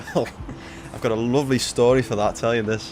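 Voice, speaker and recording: A man speaks with a Liverpool accent and fairly even intonation. There is noticeable background noise behind him. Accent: Liverpool (Scouse). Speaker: flight sim streamer. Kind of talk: casual chat. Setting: livestream.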